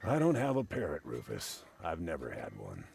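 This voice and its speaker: In a put-on character voice, a man speaks at a moderate pace with a very deep, low pitch and a raspy edge. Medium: video game. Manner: dry, patient.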